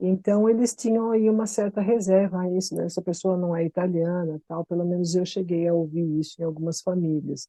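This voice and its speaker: With a São Paulo accent, a woman speaks in a dark, mellow tone at a fairly low pitch, at a fairly quick pace with hardly any pauses and fairly even intonation, in a dry, close sound with no echo. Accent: São Paulo Brazilian Portuguese. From Brazil, São Paulo city. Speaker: expat interviewee. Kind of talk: casual podcast chat.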